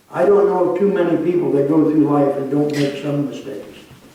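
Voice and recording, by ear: A man talks at a fairly quick pace with a fairly high pitch and a dark, mellow tone. Strong room echo surrounds his voice. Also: ordinary pitch variation.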